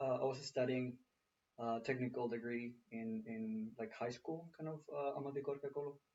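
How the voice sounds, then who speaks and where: A man speaks at a moderate pace and medium pitch with a Spanish accent. His intonation is fairly even. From Mexico, Mexico City. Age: 20s. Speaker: engineer. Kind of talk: interview.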